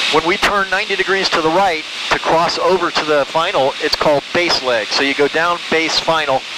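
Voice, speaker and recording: Fairly high pitch for a man, ordinary pitch variation, noticeable background noise. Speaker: private pilot. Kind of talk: casual chat. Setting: small plane cockpit in flight. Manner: fast talker.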